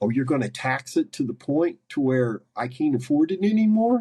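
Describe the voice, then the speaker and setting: A man with an American accent, dark, mellow tone, somewhat breathy delivery, lively intonation and a moderate pace. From US, West Virginia. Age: 60s. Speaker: carnivore diet coach. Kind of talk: podcast interview. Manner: animated.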